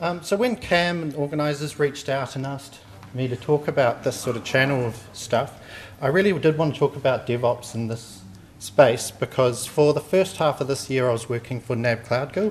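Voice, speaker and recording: A man with a New Zealand accent talks at a fairly high pitch and a moderate pace. Light background noise is present. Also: ordinary pitch variation. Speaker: software testing engineer; conference presenter. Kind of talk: conference talk. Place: hall. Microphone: handheld.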